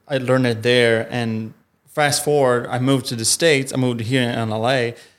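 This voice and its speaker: Speaking in a monotone with flat intonation, a man keeps to a medium pitch. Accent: Italian. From Italy. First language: Italian. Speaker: improv performer. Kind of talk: casual interview chat. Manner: halting, searching for words.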